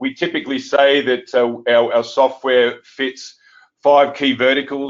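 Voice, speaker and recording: This is a man speaking with an Australian accent. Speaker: software company executive. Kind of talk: webinar presentation.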